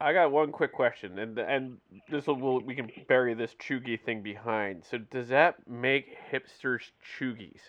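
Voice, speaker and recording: A normal speaking voice from a man at medium pitch, moderate pace and ordinary pitch variation. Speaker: podcast host. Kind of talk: casual chat.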